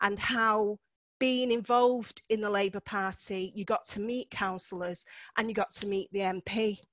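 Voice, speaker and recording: A woman with a Manchester accent talks at medium pitch and a moderate pace, with fairly even intonation. The recording is very clean, with a silent background and a dry, close sound with no echo. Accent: north Manchester. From Cheetham Hill, north Manchester, England. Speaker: local councillor. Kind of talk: seminar talk. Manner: casual, frequent filler ums.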